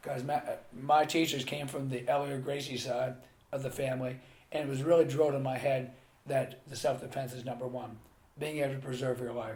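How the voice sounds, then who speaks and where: Against audible room echo, a man with an American accent talks at a fairly quick pace, at a medium pitch and in a monotone, flat intonation. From US, Pennsylvania (Carlisle). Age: 60s. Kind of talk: interview.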